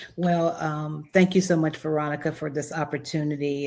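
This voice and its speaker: In a North Carolina accent, a woman talks with a very deep, low pitch and monotone, flat intonation on a very clean recording with a silent background. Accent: Southern US (North Carolina). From US South, Charlotte, North Carolina. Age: 60s. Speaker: wedding officiant and planner. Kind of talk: podcast interview.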